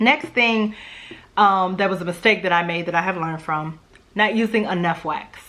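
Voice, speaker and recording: A woman with a Louisiana accent at a moderate pace. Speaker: home fragrance YouTuber. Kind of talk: casual vlog talk. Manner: chatty, conversational.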